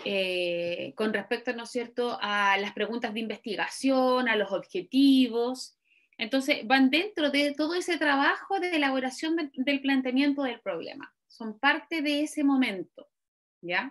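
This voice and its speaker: Lively intonation at a fairly slow pace. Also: woman, high pitch for a woman. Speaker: university lecturer. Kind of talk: online lecture.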